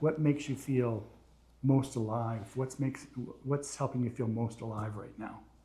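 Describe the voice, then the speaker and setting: A man's voice with ordinary pitch variation at a fairly slow pace. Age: 60s. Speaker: podcast host. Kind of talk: interview.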